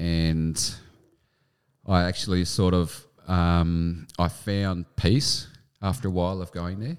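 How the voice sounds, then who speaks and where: On a very clean recording with a silent background, a man with an Australian accent and a very deep, low pitch speaks at a very slow pace with long, frequent pauses and fairly even intonation. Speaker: army veteran. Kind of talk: interview.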